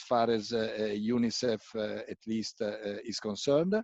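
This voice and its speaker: A medium-pitched man with an Italian accent at a moderate pace, the sound dry and close with no echo. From Italy. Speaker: UN agency country representative, medical doctor. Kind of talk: talk in a panel discussion. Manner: hesitant, many fillers.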